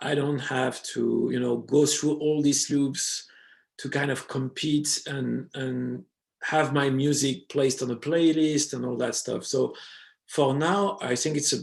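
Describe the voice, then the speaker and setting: The intonation is fairly even, in a French accent. The pace is fairly slow. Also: man, fairly high pitch for a man. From France. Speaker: DJ and electronic music producer. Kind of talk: interview conversation. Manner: hesitant, many fillers.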